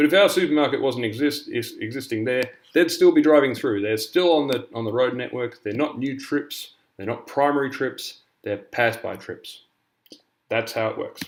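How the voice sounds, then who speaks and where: A man's fairly high pitch shows ordinary variation. He keeps a moderate pace. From Canada, British parents. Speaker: university lecturer. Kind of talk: lecture. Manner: casual, with frequent fillers.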